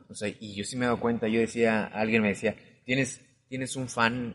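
In a monotone, flat intonation, a man talks at a moderate pace. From Mexico City. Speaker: podcast host. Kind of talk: casual chat.

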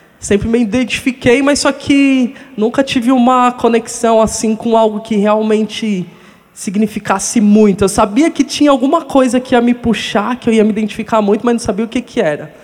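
A man's extremely high voice at a moderate pace, with hardly any pauses, over noticeable background noise. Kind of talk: testimony.

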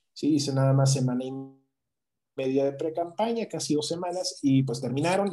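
A man with a fairly high pitch talks at a fairly quick pace, using ordinary pitch variation and a dark, mellow tone. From Mexico, southeast (Chiapas, Yucatán peninsula) and Querétaro. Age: 30s. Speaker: political candidate. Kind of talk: political interview.

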